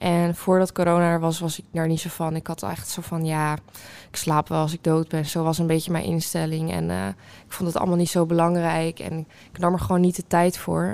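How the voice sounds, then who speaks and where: In a very clean recording with a silent background, a woman uses a normal speaking voice. Her pitch is fairly low, her intonation fairly even and her pace fairly quick. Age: 20s. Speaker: student. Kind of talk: casual chat.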